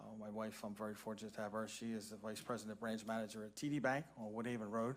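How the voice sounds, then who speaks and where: This man talks with a Philadelphia accent at a very fast pace. His pitch is fairly low and his intonation monotone and flat. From Philadelphia (Roxborough), Pennsylvania. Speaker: parks and recreation director. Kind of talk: public meeting self-introduction.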